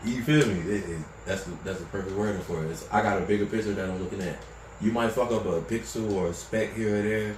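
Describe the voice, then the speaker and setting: A man's fairly low-pitched voice, very fast and fairly even in intonation, with audible room echo and noticeable background noise. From Baltimore, Maryland, moved to North Carolina as a kid. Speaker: podcast guest. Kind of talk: casual chat.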